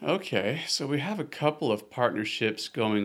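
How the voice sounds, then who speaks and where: A man with a Texan accent in a very clean recording with a silent background. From Texas, Austin. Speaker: park ranger. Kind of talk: casual interview. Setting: on location at the lake.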